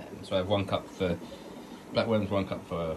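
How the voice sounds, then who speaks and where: Over noticeable background noise, a man speaks with a very deep, low pitch in a monotone, flat way. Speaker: aquarium hobbyist vlogger. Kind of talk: casual vlog tutorial. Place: home room. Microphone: phone near.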